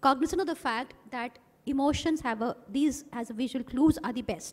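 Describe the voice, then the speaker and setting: Talking at a fairly quick pace, a woman's high-pitched voice shows ordinary pitch variation. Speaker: ophthalmologist and medical teacher. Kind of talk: conference talk. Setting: stage with audience.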